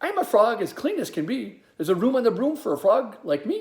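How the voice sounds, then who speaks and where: A put-on character voice, croaky and fairly high in pitch. It moves at a fairly quick pace. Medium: read story.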